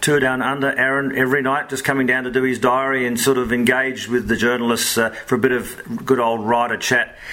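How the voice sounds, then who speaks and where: With an Australian accent, a man speaks at a medium pitch in a monotone, flat intonation. He goes at a fairly quick pace with hardly any pauses, over noticeable background noise. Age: 50s. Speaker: sports journalist and podcast host. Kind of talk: casual chat.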